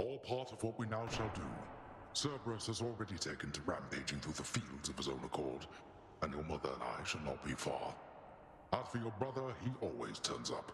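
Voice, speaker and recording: A man's put-on character voice, fairly low-pitched, with slight echo and clear background noise. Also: fairly quick pace. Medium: machinima. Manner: grave, measured.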